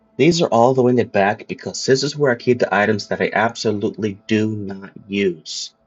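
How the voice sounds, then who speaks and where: A man talks with a medium-pitched voice. Music plays in the background. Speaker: gaming video creator. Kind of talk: casual game guide walkthrough. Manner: casual, animated.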